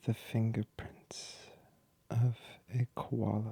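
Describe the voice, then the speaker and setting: Someone whispers at a very slow pace in a dry, close sound with no echo. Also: man. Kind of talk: ASMR sleep trivia. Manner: soft-spoken, whispered, slow.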